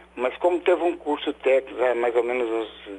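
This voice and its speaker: A man talks at a fairly slow pace. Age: 60s. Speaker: caller, former radiology technician. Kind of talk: live phone-in call. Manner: halting.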